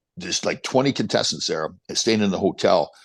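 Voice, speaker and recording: A man talks with a Canadian accent. The background is quiet. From Canada. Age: 60s. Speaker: former pro hockey player and motivational speaker. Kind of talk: casual interview chat.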